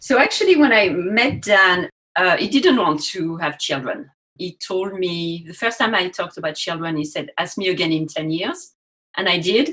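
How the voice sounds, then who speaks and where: A woman with a French accent speaks at a moderate pace in a medium pitch, her bright, sharp tone carried by lively intonation. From France. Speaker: university teacher educator. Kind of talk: podcast interview.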